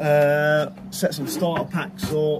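A man talks slowly in a fairly high pitch, with little pitch movement. Audible room echo surrounds his voice.

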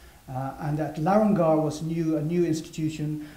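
Noticeable echo from the room surrounds the man as he talks. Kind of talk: interpreted lecture. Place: hall.

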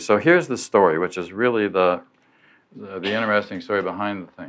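With his pitch sitting fairly low, a man talks with ordinary pitch variation. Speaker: lecturer. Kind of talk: lecture. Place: hall.

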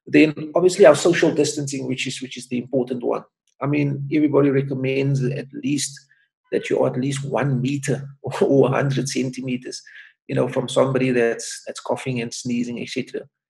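The voice carries vocal fry with a monotone, flat intonation. The background is quiet. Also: man. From South Africa, Cape Town (Manenberg); South Africa. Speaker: doctor. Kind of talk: interview. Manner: hesitant with repetitions. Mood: calm, advisory. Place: home room. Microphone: webcam.

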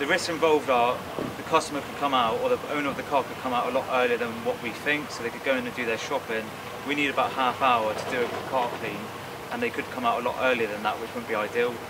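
Very fast speech from a man over loud background noise. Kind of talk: casual vlog chat. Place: street.

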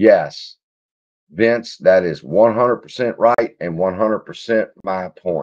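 With a Louisiana accent, a man speaks at a very slow pace with big swings in loudness against a quiet background. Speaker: stock market YouTuber; stock market livestreamer. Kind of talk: casual livestream chat reading. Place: home room. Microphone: webcam.

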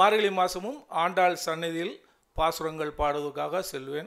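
Against a quiet background, a man with a high pitch and a bright, sharp tone speaks with fairly even intonation. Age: old. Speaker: journalism graduate, assistant editor. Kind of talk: ceremony speech. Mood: earnest, reflective. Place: hall. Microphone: podium.

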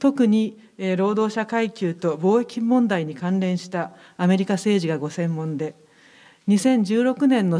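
A woman is speaking. The background is quiet. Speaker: foundation representative. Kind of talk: formal opening speech. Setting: stage with audience. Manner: formal. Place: hall. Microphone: podium.

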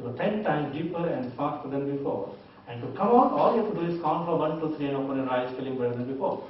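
Very fast speech comes from a man with a fairly high pitch, with audible room echo and light background noise. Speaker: hypnotist teacher. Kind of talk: hypnosis induction. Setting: live demonstration with volunteer. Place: hall. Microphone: camera far.

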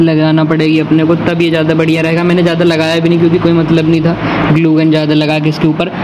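Noticeable background noise sits behind this speaker. He is a man with a high pitch, talking at a moderate pace. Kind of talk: tutorial. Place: home room. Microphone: phone near.

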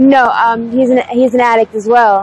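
A woman's fairly high voice at a moderate pace, dry with no echo, over light background noise. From Pennsylvania, US. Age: 20s. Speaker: homeless drug user interviewee. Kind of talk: street interview. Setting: outdoors on the street. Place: street. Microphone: lapel.

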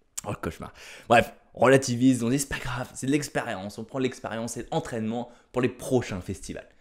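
Over a quiet background, a man talks at a moderate pace in an animated tone. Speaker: stand-up comedian. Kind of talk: stand-up comedy routine, storytelling with jokes. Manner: animated, punchy, exaggerated delivery with slangy asides. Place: home room. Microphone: handheld.

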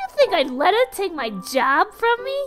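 Clear music plays behind a put-on character voice pitched extremely high that swings very widely in pitch. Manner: brash, boastful, tough-talking.

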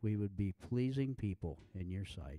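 A man talks at a fairly slow pace with a dark, mellow tone and ordinary pitch variation. The sound is dry with no echo, and the background is quiet. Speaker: pastor. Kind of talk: prayer then sermon. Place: church.

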